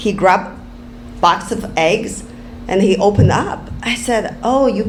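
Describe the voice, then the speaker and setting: A woman with a Chinese accent speaks at a fairly slow pace and medium pitch with ordinary pitch variation, against noticeable background noise and audible room echo. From Inner Mongolia, China. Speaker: real estate developer. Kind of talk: panel talk. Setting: stage with audience. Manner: halting.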